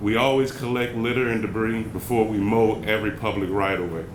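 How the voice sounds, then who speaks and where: Fairly quick, fairly even speech with audible room echo and noticeable background noise. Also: man. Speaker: city public works staff presenter. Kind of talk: slide presentation at community workshop. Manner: fast.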